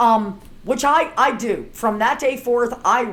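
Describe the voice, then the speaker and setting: In an American accent, the speaker moves at a fairly slow pace with lively intonation. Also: woman. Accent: Baltimore accent, usually hidden. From Baltimore, US. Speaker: herbalist and author. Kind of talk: casual chat. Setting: sitting down in person. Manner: relaxed, conversational.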